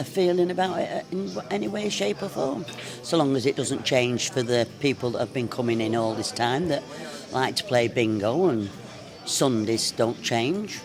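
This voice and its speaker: Music plays in the background as a man speaks at a moderate pace in a medium-pitched voice with very wide pitch swings. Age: 80s+. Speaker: pub regular. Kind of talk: interview.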